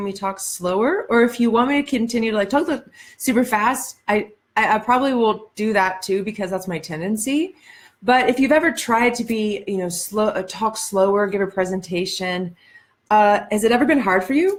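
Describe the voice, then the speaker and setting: A woman speaks with an American accent and a somewhat breathy quality. Her pitch is fairly high, with ordinary variation. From Ohio, US Midwest. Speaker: life coach and speaker. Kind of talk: live-stream monologue. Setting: Facebook live stream. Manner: deliberately slower than usual.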